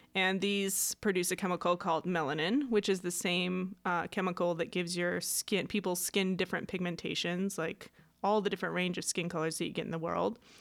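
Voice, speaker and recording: In an ordinary speaking voice, a woman at a medium pitch keeps fairly even intonation and a fairly quick pace with hardly any pauses, on a very clean recording with a silent background. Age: 30s. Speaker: science podcast co-host. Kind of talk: casual chat.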